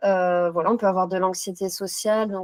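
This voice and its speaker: On a very clean recording with a silent background, a woman speaks at a medium pitch and a moderate pace with fairly even intonation. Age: 30s. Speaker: psychotherapy practitioner. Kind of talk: interview. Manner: hesitant with frequent fillers.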